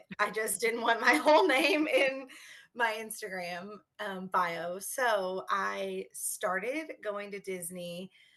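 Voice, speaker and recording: A woman talks at a very slow pace in a medium pitch, with a slight Kentucky accent and a bright, sharp tone. Her intonation is lively, and her loudness swings widely. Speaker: teacher, podcast guest. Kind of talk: casual interview. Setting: video call.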